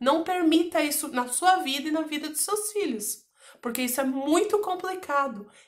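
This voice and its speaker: Against a quiet background, a woman with a high pitch talks at a moderate pace with lively intonation. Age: 40s. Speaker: YouTuber. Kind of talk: personal testimony. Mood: serious, emotional recounting of abuse. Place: home room. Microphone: phone near.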